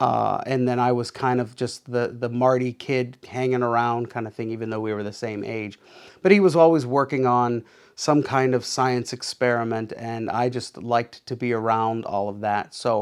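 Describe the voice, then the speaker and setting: Very clean, with a silent background, the recording has a man with an American accent and a normal speaking voice talking at a moderate pace, his medium pitch carrying fairly even intonation. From Pittsburgh, Pennsylvania. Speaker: art teacher and car rental business owner. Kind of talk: casual interview monologue.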